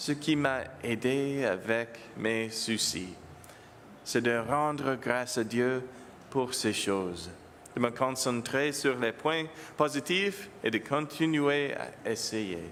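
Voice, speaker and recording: With an English accent, a man talks at a very slow pace with long, frequent pauses and ordinary pitch variation. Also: medium pitch for a man. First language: English (speaking French). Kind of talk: homily. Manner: halting, self-correcting.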